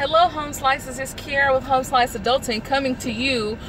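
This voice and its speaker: Loud and high-pitched, a woman speaks over noticeable background noise. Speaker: YouTube TV reviewer. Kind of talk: casual vlog review.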